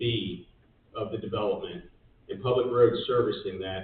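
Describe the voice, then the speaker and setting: A man speaks at medium pitch with ordinary pitch variation. Audible room echo surrounds his voice. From Georgia, Gwinnett County. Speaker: real estate developer. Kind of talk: answering questions at public meeting. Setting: county commission meeting room.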